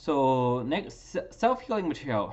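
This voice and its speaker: This man speaks with a non-native accent. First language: not English. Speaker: graduate student. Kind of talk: class presentation. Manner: halting, many fillers.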